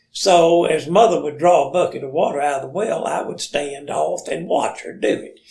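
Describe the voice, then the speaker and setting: With an Alabama accent, a man talks at a moderate pace with hardly any pauses and big swings in loudness. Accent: Southern US (Alabama). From US South, Limestone County, Alabama. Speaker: storyteller. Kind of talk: casual chat.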